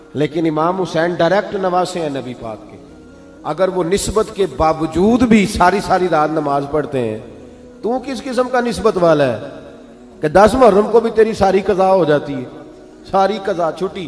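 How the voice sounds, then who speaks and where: A man's high-pitched voice, with lively intonation and big swings in loudness. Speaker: Islamic preacher. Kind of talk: religious sermon. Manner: passionate, conversational.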